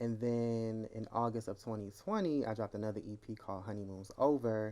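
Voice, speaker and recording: Soft-spoken and dark, mellow in tone, a man talks at medium pitch with fairly even intonation. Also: fairly quick pace. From Norfolk, Virginia. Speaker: rapper and musician. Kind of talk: casual interview.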